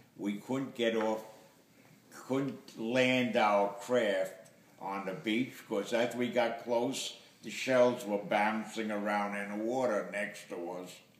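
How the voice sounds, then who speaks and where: Noticeable background noise sits behind a man speaking at a medium pitch. His pace is very slow and his intonation fairly even. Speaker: war veteran. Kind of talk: interview answer.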